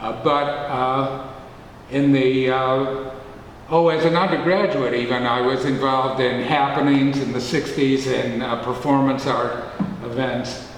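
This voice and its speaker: A man at a fairly slow pace with fairly even intonation, with audible room echo and noticeable background noise. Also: medium pitch for a man. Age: 70s. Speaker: poet. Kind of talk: casual chat. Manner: halting, many fillers.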